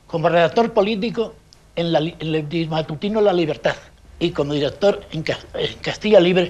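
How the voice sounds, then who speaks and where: Over noticeable background noise, a man talks at a moderate pace with a high pitch. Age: 70s. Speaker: journalist and anarchist veteran. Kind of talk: interview testimony.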